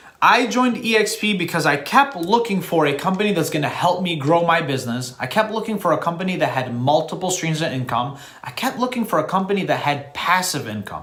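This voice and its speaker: Animated and fairly quick with hardly any pauses, a man speaks at a high pitch with very wide pitch swings, amid audible room echo and noticeable background noise. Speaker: real estate agent. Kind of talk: monologue to camera.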